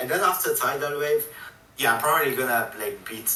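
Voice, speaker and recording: Audible room echo and noticeable background noise surround a man whose pitch swings very widely. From Italy. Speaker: gamer. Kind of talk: casual chat. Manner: loud. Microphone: laptop mic, quiet and poor.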